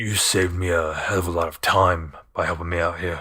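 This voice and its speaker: A man's raspy, put-on character voice, very deep and low, at a fairly quick pace. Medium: actual play. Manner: gruff, grumbling.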